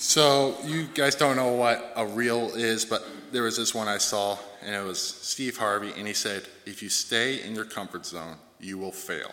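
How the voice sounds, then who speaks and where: An ordinary speaking voice belongs to this man, who talks at a moderate pace. His pitch is medium, with ordinary variation. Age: 20s. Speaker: church member sharing testimony. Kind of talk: testimony.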